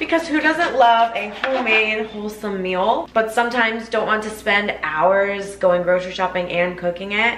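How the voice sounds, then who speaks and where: Over noticeable background noise, a woman speaks at a moderate pace with ordinary pitch variation. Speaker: lifestyle vlogger. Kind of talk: sponsored ad read in casual vlog style. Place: kitchen.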